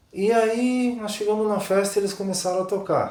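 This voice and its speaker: Noticeable background noise with audible room echo. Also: man. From Rio Grande do Sul, southern Brazil. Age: 50s. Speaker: accordion tuner. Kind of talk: interview.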